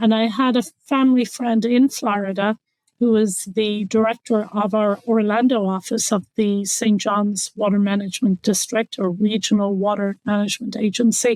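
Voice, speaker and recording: A woman speaks at a moderate pace in a fairly high pitch, monotone and flat, with very even loudness. The sound is dry and close with no echo. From Ireland. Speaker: water conservation official. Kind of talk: interview.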